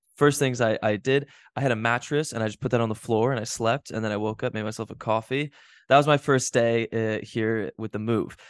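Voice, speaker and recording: A man with an American accent at medium pitch and a fairly quick pace, in a dry, close sound with no echo and a quiet background. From US Midwest, Chicago. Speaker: IndyCar racing driver. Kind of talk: casual chat. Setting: podcast recording. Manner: speeds up when on the spot; animated, laughing often.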